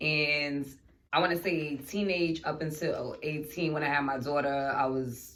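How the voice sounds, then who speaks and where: A woman talks very slowly in a very deep, low voice with fairly even intonation. Room echo can be heard. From New York City (Bronx/Harlem). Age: 30s. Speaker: podcast host. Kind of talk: casual chat.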